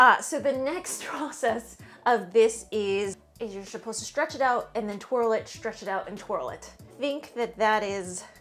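A woman at a moderate pace with ordinary pitch variation, big swings in loudness and faint music in the background. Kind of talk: casual cooking vlog chat. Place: kitchen. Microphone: camera far.

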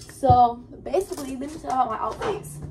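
Over music in the background, a woman speaks at a moderate pace with very wide pitch swings. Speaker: student vlogger. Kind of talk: casual vlog chat. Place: kitchen. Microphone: phone near.

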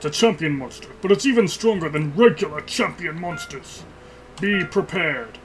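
Putting on a character voice, a man talks at a high pitch and moderate pace with lively intonation and big swings in loudness, over clear background noise. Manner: portentous.

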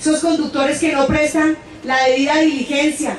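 Amid light background noise and audible room echo, a woman speaks at a high pitch and a moderate pace. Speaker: speaker. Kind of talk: public speech. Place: stage.

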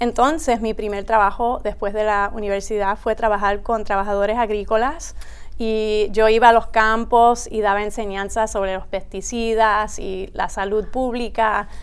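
A woman's fairly high voice, monotone and flat in intonation, at a fairly slow pace. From US, Rockville, Maryland; Puerto Rican family; Maryland. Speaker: high school principal. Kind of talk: interview conversation. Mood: warm, smiling, relaxed. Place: studio. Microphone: lapel.

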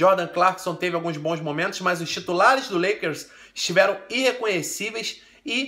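In a Brazilian accent, a raised, projected voice with a bright, sharp, animated tone talks at a moderate pace. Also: man. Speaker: basketball commentator. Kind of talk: sports recap commentary.

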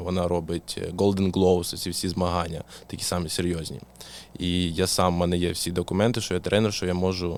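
With a Russian accent, a man with a very deep, low voice speaks at a very fast pace in a monotone, flat intonation. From southern Ukraine, Mykolaiv. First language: Russian (speaking Ukrainian). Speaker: boxing coach. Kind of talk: casual interview.

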